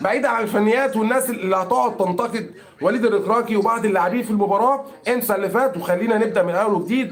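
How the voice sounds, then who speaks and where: A man speaks at a very fast pace with a high pitch, ordinary pitch variation, an animated tone and very even loudness. Audible room echo and noticeable background noise fill the recording. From Egypt. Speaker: football commentator streamer. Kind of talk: live stream commentary. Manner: animated, repetitive.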